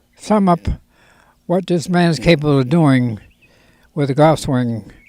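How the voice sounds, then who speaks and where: A man's fairly high voice with a dark, mellow tone and ordinary pitch variation, in a very clean recording with a silent background. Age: 80s+. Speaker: golf professional. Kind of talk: interview answer.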